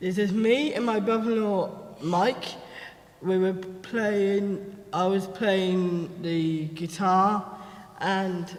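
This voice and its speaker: With audible room echo and noticeable background noise, a man speaks at a very slow pace in a high pitch with fairly even intonation. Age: 20s. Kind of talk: panel talk presenting photo slideshow.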